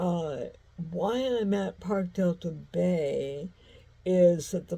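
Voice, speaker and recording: A somewhat breathy, very slow voice with a dark, mellow tone, ordinary pitch variation and an American accent. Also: woman. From US Midwest, St. Louis. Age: 60s. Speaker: vlogger. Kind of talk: casual monologue. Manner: halting, many fillers.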